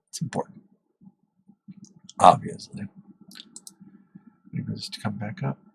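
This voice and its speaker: A soft-spoken man talks at a moderate pace with long, frequent pauses and big swings in loudness, recorded dry and close with no echo. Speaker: gaming streamer. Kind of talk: gameplay commentary. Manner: halting. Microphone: testing mic for quiet speech.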